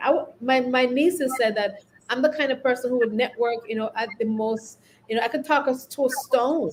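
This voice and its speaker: A woman with a Caribbean accent, high-pitched and lively in intonation, at a moderate pace. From Caribbean, St. Vincent and the Grenadines. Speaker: leadership consultant and company founder. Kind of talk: podcast interview.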